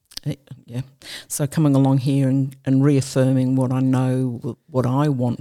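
Her voice very deep and low, a woman speaks at a moderate pace in a dark, mellow tone with monotone, flat intonation. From England. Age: 70s. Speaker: retired army nurse and veteran. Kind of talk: interview testimony.

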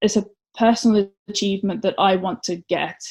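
A woman's somewhat breathy voice at medium pitch. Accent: Welsh. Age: 30s. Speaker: competitive swimmer. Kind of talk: casual interview.

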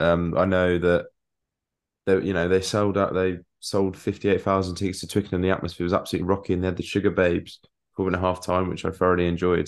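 Against a quiet background, someone with an English accent talks very fast. The intonation is monotone and flat. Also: man, very deep, low pitch for a man. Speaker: cricket podcast co-host. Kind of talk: casual chat.

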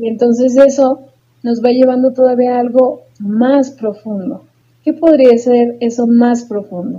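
A high-pitched woman's voice with fairly even intonation at a fairly slow pace. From Mexico, Tulancingo, Hidalgo. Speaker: psychologist and podcast co-host. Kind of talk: casual chat.

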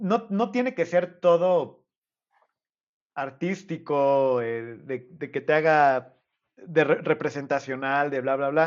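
Someone speaks at a very slow pace with a Mexican accent. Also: man, fairly high pitch for a man, lively intonation. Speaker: podcast host. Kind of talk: casual chat.

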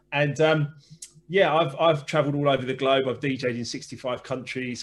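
A man speaks at a fairly slow pace, his intonation fairly even. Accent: southern English. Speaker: former DJ, business coach and author. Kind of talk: interview.

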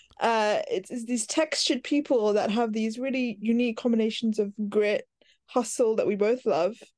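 Speaking with an American accent, a woman uses a fairly high pitch. Her pitch varies in an ordinary way. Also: moderate pace. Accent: London with American touches. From West London. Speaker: radio presenter and content producer. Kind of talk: casual interview.

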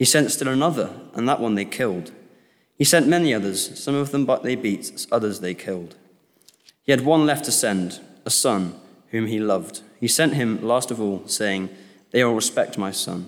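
A man with an ordinary speaking voice talks at a moderate pace and medium pitch. His intonation is lively. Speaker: scripture reader. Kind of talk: reading aloud. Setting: church.

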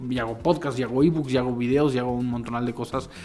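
Music in the background behind a man with a Mexican accent, a medium pitch and fairly even intonation. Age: 40s. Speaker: marketing consultant and teacher. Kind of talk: casual interview chat.

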